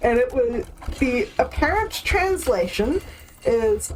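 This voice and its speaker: A woman speaks with a New Zealand accent. Background noise is noticeable. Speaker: video game streamer. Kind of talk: casual chat.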